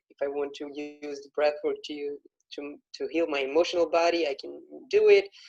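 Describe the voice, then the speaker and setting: Moderate pace with ordinary pitch variation, in a Brazilian accent. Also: man. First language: Portuguese. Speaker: breathwork facilitator. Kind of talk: casual interview. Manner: halting.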